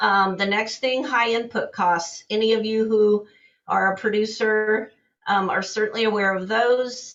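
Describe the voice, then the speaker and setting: A woman with an unremarkable speaking voice talks at a fairly slow pace in a fairly high pitch, her intonation fairly even. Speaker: commodity broker. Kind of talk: market outlook presentation.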